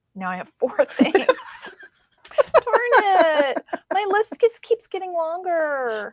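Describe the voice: A woman whines in a put-on character voice with a whiny tone and an extremely high pitch. She speaks at a very slow pace.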